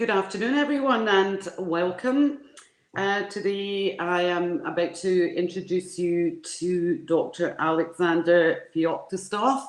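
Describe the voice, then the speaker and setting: A woman with a Glasgow accent talks at a very slow pace and medium pitch. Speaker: conference moderator. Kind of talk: speaker introduction. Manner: halting.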